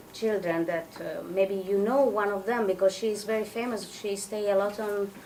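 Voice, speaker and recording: Amid noticeable background noise and audible room echo, a woman with a non-native accent speaks at a moderate pace and medium pitch. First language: Italian. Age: 30s. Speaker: psychotherapist and adoptee representative. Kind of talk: presentation. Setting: event with audience. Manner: halting.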